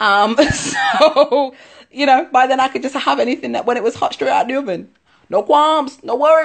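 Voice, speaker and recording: Speech comes at a moderate pace with ordinary pitch variation. The tone is animated, and the background is quiet. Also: woman, high pitch for a woman. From England, Leicester; England. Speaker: musical theatre performer; dance workshop host. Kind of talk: casual social media Q&A. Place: home room. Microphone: phone near.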